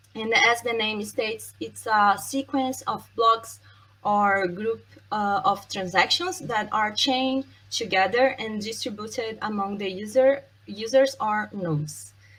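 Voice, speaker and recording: Speaking in a Brazilian accent, a woman keeps a fairly slow pace. Her fairly high voice shows ordinary pitch variation. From Brazil, Santos. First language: Portuguese. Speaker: software testing expert, conference speaker. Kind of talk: conference talk. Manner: hesitant, many fillers.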